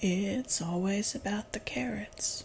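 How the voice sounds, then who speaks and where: A female-sounding, put-on character voice speaks at a middle pitch and a fairly slow pace. Light background noise is present. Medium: read story. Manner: prim, slightly indignant.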